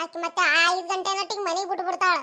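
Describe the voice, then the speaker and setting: A woman performs a cartoonish character voice at an extremely high pitch and moderate pace. Her intonation stays monotone and flat on a very clean recording with a silent background. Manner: easygoing, chatty.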